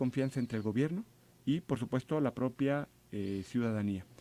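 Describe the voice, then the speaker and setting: In a very clean recording with a silent background and a dry, close sound with no echo, a man speaks at a fairly quick pace with lively intonation and a dark, mellow tone. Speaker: government official. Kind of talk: radio interview.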